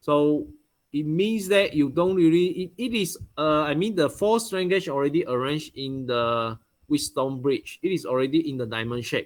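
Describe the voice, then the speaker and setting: A normal speaking voice from a man, fairly high-pitched, moderately paced and lively in intonation. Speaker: university lecturer. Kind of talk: online lecture.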